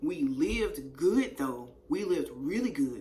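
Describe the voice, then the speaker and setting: Noticeable background noise and audible room echo surround a woman whose animated tone brings very wide pitch swings. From East Texas, raised near Shreveport, Louisiana border. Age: 30s. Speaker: YouTuber telling her life story. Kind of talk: casual storytime monologue.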